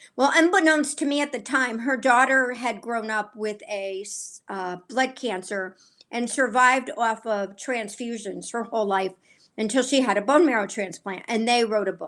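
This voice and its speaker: A woman with a normal speaking voice and a fairly high pitch talks at a moderate pace with ordinary pitch variation in a very clean recording with a silent background. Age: 60s. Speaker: author. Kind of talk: interview.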